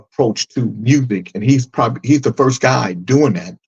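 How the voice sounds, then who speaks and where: This voice has vocal fry and ordinary pitch variation, recorded with a dry, close sound and no echo. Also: man. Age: 60s. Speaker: podcast co-host. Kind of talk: casual chat.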